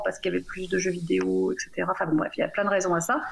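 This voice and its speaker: A woman speaks over noticeable background noise. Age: 40s. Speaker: software engineering team lead. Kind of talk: radio panel discussion. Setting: remote call into radio studio.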